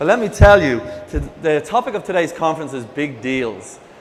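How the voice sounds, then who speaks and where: Noticeable background noise is present. A man speaks with an Irish accent at a moderate pace. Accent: Irish lilt. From Ireland. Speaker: e-commerce executive, conference speaker. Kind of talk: conference presentation. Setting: stage with audience. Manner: energetic, hyperactive.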